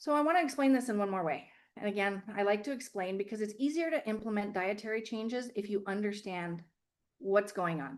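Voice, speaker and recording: This woman talks at a fairly quick pace, her medium pitch carried by lively intonation. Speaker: health practitioner giving a webinar. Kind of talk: webinar presentation. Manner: fast.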